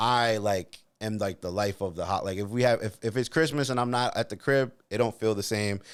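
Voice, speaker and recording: Speaking with an American accent and hardly any pauses, a man uses a fairly low pitch and ordinary pitch variation in a very clean recording with a silent background. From US East Coast, Dominican family. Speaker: comedian. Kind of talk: casual chat. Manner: loud; animated.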